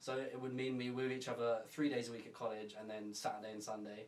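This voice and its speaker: A man speaks at a fairly quick pace with an English accent, his pitch medium and his intonation monotone and flat. Audible room echo and noticeable background noise run through the recording. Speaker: podcast co-host. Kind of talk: casual chat.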